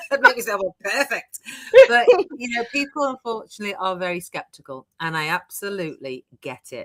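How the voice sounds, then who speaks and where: Speaking at a fairly quick pace, a woman with a medium pitch and a bright, sharp tone shows very wide pitch swings and big swings in loudness. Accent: British. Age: 60s. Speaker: online business coach. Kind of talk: interview. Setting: live stream.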